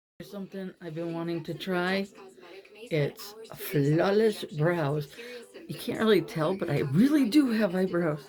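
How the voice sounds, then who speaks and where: A woman's fairly low voice at a fairly slow pace, with lively intonation, big swings in loudness and noticeable background noise. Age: 50s. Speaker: former model, author. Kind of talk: makeup tutorial talk to camera. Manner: casual, chatty.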